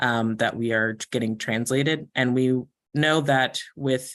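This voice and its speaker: With a quiet background, a man of medium pitch talks at a moderate pace with fairly even intonation. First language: not English. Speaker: community engagement staff. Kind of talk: public meeting discussion. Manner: hesitant with fillers.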